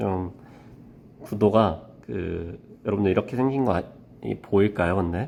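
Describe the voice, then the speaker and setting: Here a man speaks with lively intonation. His pitch is fairly low. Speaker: math teacher. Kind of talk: tutorial.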